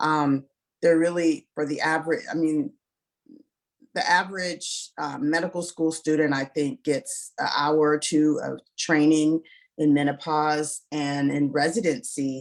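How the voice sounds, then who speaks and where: A woman with a very deep, low pitch, fairly even intonation and a fairly slow pace. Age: 50s. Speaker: ob-gyn physician and author. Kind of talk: panel interview.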